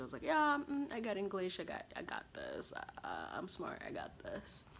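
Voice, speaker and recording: A woman with a Kenyan accent talks at a fairly quick pace, her pitch swinging very widely. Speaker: international college student vlogger. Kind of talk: casual vlog monologue. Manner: conversational with fillers.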